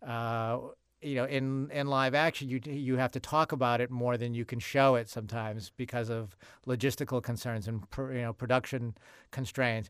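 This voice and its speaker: A man's medium-pitched voice with an American accent, fairly even intonation and a moderate pace, in a very clean recording with a silent background. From Massachusetts, US. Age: 50s. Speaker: TV comedy writer-producer. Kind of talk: interview. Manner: hesitant, many fillers.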